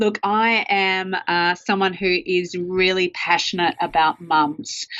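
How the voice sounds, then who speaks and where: This woman talks at a fairly slow pace in a medium-pitched voice. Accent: strong Australian. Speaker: marketing strategist and author. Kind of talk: interview.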